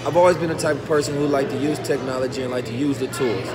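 A man is speaking. Loud background noise can be heard. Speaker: motivational vlogger. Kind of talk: casual vlog chat. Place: market. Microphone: phone near.

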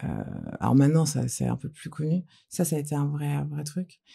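This woman's voice has a very deep, low pitch and a dark, mellow tone. She sounds somewhat breathy and speaks at a fairly slow pace. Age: 40s. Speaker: entrepreneur; guest. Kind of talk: casual interview chat. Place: studio. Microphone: studio mic.

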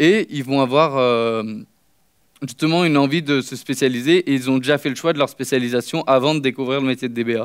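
Intonation stays fairly even against a quiet background. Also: man, fairly quick pace. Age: 20s. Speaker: master's student speaker; conference speaker. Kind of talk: conference talk. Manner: hesitant, many fillers. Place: stage.

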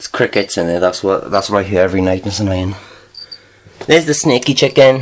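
With a Welsh accent, a man talks at a very fast pace in a fairly low pitch and lively intonation, breaking often into long pauses over light background noise. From Wales. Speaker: vlogger. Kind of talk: casual vlog talk to camera. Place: home room. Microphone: phone near.

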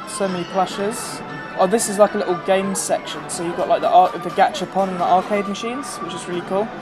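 Clear music plays in the background. The speaker talks at a very fast pace in a British accent. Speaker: vlogger. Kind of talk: casual vlog narration. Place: shop. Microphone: phone near.

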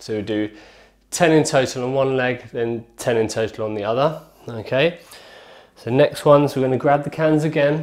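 The background is quiet as a man speaks. He keeps a moderate pace and fairly even intonation. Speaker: fitness instructor. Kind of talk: tutorial. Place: kitchen. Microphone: camera far.

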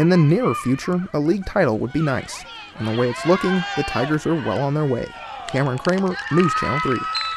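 Noticeable background noise runs under the recording. A man speaks at a fairly high pitch. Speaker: TV sports reporter. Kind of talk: scripted news narration.

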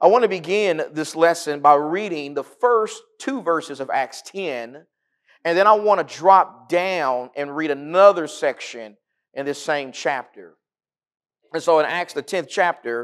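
At a fairly slow pace, a man speaks with big swings in loudness against a quiet background. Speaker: guest preacher. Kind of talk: sermon. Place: church.

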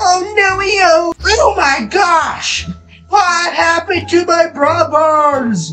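The voice is extremely high and very slow. Faint music plays in the background. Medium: machinima. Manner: panicked, exclaiming, repetitive.

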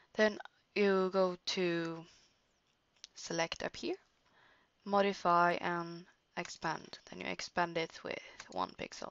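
Speaking very slowly with long, frequent pauses, a woman with a Norwegian accent keeps a flat, monotone intonation at a fairly low pitch. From Norway. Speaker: digital art tutorial creator. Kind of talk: tutorial. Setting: screen recording at home computer. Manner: halting.

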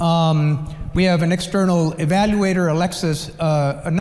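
Speaking with an American accent, this man has a high pitch. His intonation is fairly even. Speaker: physics educator. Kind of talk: conference talk. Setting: conference session with audience.

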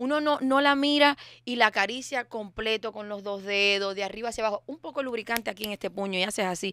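Very fast, animated speech from a woman with a fairly high pitch, a bright, sharp tone, ordinary pitch variation and big swings in loudness, in a dry, close sound with no echo on a very clean recording with a silent background. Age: 40s. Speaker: recurring guest. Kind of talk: casual comedic chat.

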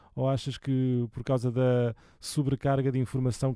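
A man's voice, dark and mellow in tone, moves at a moderate pace. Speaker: music channel host. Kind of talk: casual interview. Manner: halting.

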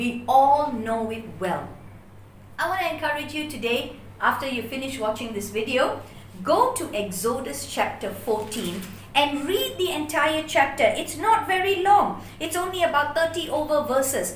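With audible room echo and light background noise, a woman talks in a high voice at a fairly slow pace. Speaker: bible teacher. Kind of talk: sermon. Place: home room. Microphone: camera far.

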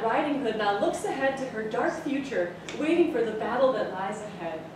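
A woman talks at a fairly quick pace and a high pitch. Noticeable background noise and audible room echo surround her voice. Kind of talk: comic storytelling performance. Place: stage. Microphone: camera far.

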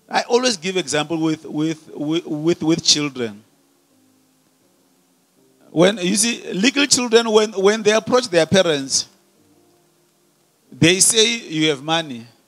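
Faint music sits behind a man who talks at a fairly slow pace with long, frequent pauses. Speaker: preacher. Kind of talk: sermon. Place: church. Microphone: handheld.

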